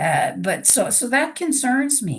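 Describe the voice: A woman with a raspy voice and vocal fry speaks slowly at a fairly high pitch, making big pitch swings.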